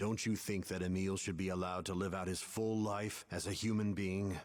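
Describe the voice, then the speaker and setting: In a put-on character voice, a man talks at a fairly quick pace with a very deep, low pitch, monotone, flat intonation and a serious tone, on a very clean recording with a silent background. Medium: video game. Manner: serious, measured.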